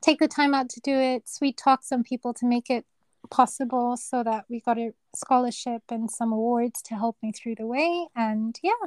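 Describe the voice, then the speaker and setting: A soft-spoken woman talks at a moderate pace and high pitch, her intonation fairly even. The sound is dry and close, with no echo. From Kenya. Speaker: neurosurgeon. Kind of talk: interview.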